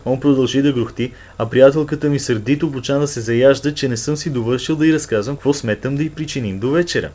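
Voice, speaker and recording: With a northwestern Bulgarian accent, a man speaks at a medium pitch and a moderate pace, his intonation fairly even. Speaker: storyteller. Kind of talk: humorous dialect story reading.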